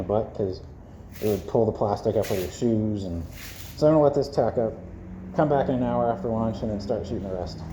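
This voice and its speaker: This man's voice is somewhat breathy, with a dark, mellow tone and medium pitch. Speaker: DIY video maker. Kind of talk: tutorial. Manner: casual, halting.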